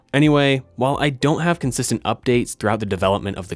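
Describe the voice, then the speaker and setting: The intonation of this man's voice is lively. There is music in the background. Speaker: electronics maker YouTuber. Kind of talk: narrated build tutorial.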